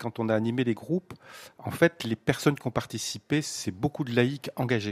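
A man's normal speaking voice at medium pitch, with ordinary pitch variation, a moderate pace and a dry, close sound with no echo. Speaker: retired civil servant, parish team member. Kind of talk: radio round-table discussion.

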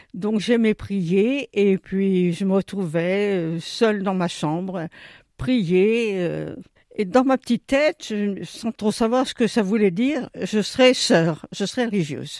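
A woman speaks at a very slow pace in a medium pitch with ordinary pitch variation. The sound is dry and close with no echo, and the recording is very clean over a silent background. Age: 80s+. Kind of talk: interview. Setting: retirement home. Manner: halting, repeats words.

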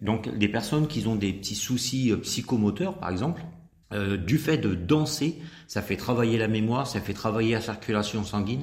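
Here a man speaks at a medium pitch, somewhat breathy. His pace is moderate and his intonation lively. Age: 50s. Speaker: country dance instructor. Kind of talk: radio interview.

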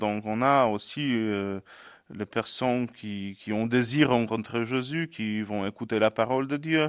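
A man's medium-pitched voice at a very slow pace with ordinary pitch variation, on a very clean recording with a silent background. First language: Polish (speaking French). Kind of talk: interview.

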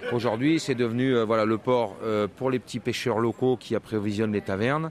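The speaker talks at a moderate pace. Noticeable background noise runs under the voice. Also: man. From France. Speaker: tour guide. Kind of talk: casual interview.

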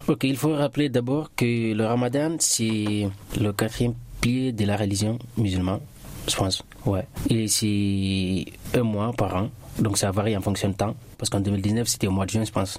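Over noticeable background noise, a man with a fairly low pitch speaks at a fairly slow pace, with ordinary pitch variation, very even loudness and long, frequent pauses. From Guinea, Boké region (Lower Guinea). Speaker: immigrant guest. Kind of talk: radio interview. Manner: halting.

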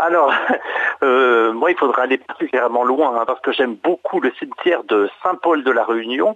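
A man at a fairly slow pace, his loudness very even, over noticeable background noise. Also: medium pitch for a man, ordinary pitch variation. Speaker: heritage association administrator. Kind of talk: radio interview. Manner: halting. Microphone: connection problems.

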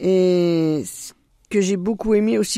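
A woman with a dark, mellow tone and fairly low pitch uses lively intonation in a very clean recording with a silent background. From eastern France, Doubs (Franche-Comté). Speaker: deacon's wife. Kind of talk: radio interview.

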